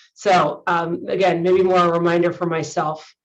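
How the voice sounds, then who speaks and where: In a Californian accent, a woman speaks at a medium pitch. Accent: Californian American. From US West Coast, San Francisco Bay Area. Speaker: high school teacher and coach. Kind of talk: conference presentation.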